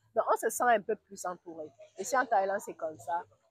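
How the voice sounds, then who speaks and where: A woman is speaking. Her voice sits at medium pitch. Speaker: vlogger and business owner. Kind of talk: travel vlog. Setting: outdoors by a pool. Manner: halting.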